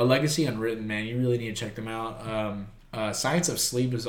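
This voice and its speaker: A man speaks at a medium pitch with an American accent and fairly even intonation. Audible room echo surrounds his voice. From South Texas, Corpus Christi. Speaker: deathcore vocalist. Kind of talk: casual chat.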